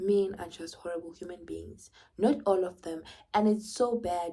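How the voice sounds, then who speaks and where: A woman with a Zulu accent speaks at a fairly low pitch. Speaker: vlogger. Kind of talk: casual monologue vlog. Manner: animated.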